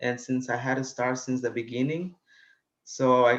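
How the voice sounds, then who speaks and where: A man with a Spanish accent speaks at a moderate pace and a medium pitch. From Guatemala. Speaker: college student. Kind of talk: interview. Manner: hesitant, many fillers.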